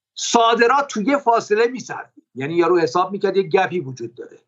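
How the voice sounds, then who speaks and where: A man talking at a very fast pace with very wide pitch swings. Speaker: economist. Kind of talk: interview.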